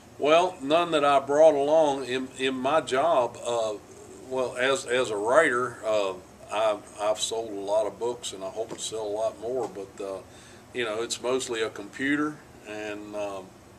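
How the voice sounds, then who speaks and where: A man speaks at a fairly slow pace. His pitch variation is ordinary. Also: medium pitch for a man. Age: 60s. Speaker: author and investigator. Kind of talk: interview answers to a child. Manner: halting, many fillers and repeats.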